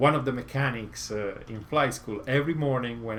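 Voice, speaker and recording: With an Italian accent, a man speaks at a fairly slow pace and with lively intonation. There is audible room echo. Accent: Italian accent, noticeable. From Italy, Rome. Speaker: motorcycle YouTuber. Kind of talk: live stream Q&A chat. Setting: home garage. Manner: halting, many fillers.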